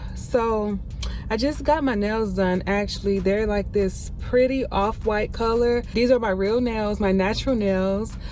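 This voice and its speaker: Her intonation is fairly even, and this woman speaks at a fairly slow pace. Audible room echo surrounds her voice. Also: fairly high pitch for a woman. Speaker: vlogger. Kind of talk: casual vlog chat. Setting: outdoors running errands.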